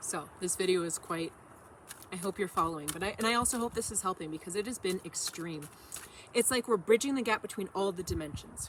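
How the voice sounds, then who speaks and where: A woman speaks at a fairly quick pace with medium pitch and ordinary pitch variation. Noticeable background noise sits behind her. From Canada. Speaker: tarot reader. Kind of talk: tarot reading monologue. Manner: casual, rambling with self-corrections.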